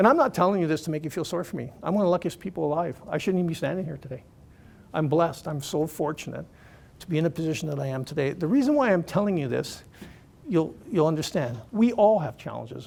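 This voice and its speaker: Talking at a very fast pace, a man uses a high-pitched voice. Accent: Canadian. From Canada (Toronto). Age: 60s. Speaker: motivational speaker, cancer patient and charity fundraiser. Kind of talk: motivational speech.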